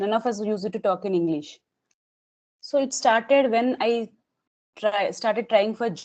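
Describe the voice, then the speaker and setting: A woman with a Telugu accent speaks at a moderate pace in a fairly high pitch, with ordinary pitch variation and long, frequent pauses. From Telangana, India. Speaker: English learner interviewee. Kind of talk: casual interview. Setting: video call.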